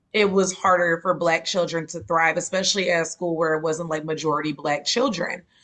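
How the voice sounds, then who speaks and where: With a Georgia accent, a woman talks at a fairly quick pace and fairly low pitch, with ordinary pitch variation and hardly any pauses. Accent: Columbus, Georgia dialect. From US South, Columbus, Georgia. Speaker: interviewer. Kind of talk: casual interview.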